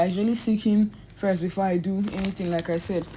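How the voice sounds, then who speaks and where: Somewhat breathy, a woman talks at a fairly quick pace and a medium pitch with fairly even intonation. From Nigeria. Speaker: painter. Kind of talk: tutorial. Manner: casual, halting with self-corrections.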